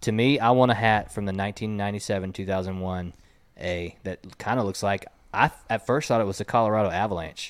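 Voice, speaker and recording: A fairly low-pitched man with an American accent and an unremarkable speaking voice, fairly quick pace and fairly even intonation, on a very clean recording with a silent background. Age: 30s. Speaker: podcast host. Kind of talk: casual chat. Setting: studio.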